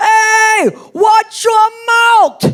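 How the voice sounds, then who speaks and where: An extremely high-pitched, put-on character voice performs with a New York accent. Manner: scolding.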